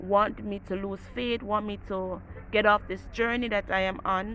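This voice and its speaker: With a plain, everyday voice, a woman speaks fairly slowly at a medium pitch, her intonation fairly even. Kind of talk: devotional talk. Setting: outdoors.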